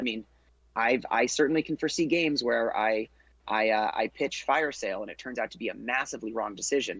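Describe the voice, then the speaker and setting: At a very fast pace, a man talks with a medium pitch and ordinary pitch variation. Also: dry, close sound with no echo. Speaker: podcast co-host, card game player. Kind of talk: casual podcast discussion.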